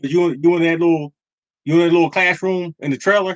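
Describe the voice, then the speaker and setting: Very fast speech, dry and close with no echo. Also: man. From Philadelphia, US. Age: 50s. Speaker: lottery show host. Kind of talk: casual livestream chat.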